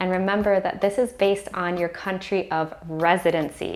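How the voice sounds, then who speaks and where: Over music in the background, a woman speaks with an American accent. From USA. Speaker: online teacher and YouTuber. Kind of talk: tutorial.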